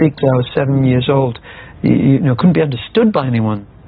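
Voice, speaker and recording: A man speaks fairly quickly with a fairly high pitch. Noticeable background noise runs underneath. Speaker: actor. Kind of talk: casual chat. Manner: fast.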